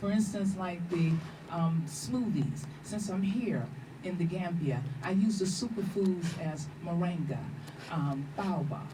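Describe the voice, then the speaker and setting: With an American accent, a woman talks at a fairly slow pace in a fairly low voice with ordinary pitch variation, over noticeable background noise and audible room echo. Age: 60s. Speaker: vegan cook and health educator. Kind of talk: radio interview.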